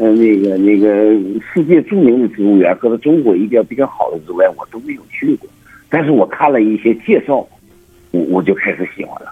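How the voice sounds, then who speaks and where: Moving at a fairly quick pace, a man talks with big swings in loudness. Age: 60s. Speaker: botanical garden owner. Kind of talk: phone interview. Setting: phone call. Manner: halting, many fillers and repetitions.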